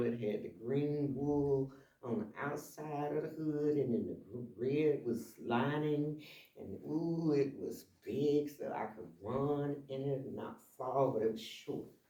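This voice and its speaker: Audible room echo accompanies speech delivered very slowly. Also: man. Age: 70s. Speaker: shop owner and community presenter. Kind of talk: community talk. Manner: animated.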